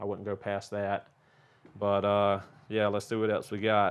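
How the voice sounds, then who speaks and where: With a Southern US accent, a man talks at a fairly quick pace. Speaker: auto mechanic and car YouTuber. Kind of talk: casual viewer Q&A. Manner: casual, many filler words.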